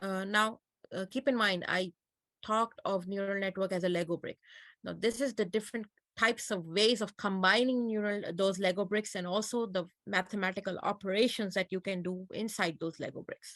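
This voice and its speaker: In a non-native accent, the speaker talks at a moderate pace with fairly even intonation, with a dry, close sound with no echo and a quiet background. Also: woman, medium pitch for a woman. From Pakistan. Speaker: computer science lecturer. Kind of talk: lecture.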